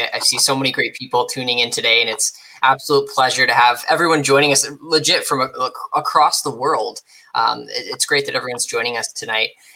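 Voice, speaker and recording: Someone with a Canadian accent talks at a very fast pace. There is noticeable background noise. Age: 20s. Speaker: podcast host. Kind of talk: interview.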